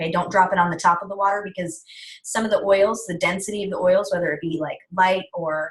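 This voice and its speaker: A woman's somewhat breathy voice at a very fast pace, with fairly even intonation. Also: medium pitch for a woman. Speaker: essential oils wellness guide. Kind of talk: online presentation webinar. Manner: casual with many fillers.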